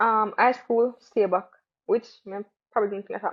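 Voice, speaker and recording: A woman with a Jamaican accent speaks at a moderate pace. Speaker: track athlete. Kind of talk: casual interview.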